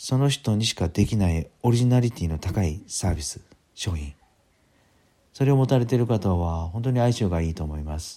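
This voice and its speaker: A man with a dark, mellow tone and lively intonation is heard on a very clean recording with a silent background. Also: moderate pace. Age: 50s. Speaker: podcaster and business consultant. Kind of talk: solo podcast talk. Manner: casual, filler-heavy.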